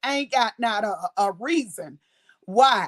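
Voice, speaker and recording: A woman talks loudly in a high pitch, recorded with a dry, close sound and no echo. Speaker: YouTube content creator. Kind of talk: casual live stream chat.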